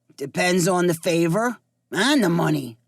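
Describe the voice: This put-on character voice is raspy and sits at a middle pitch. It moves at a moderate pace with lively intonation.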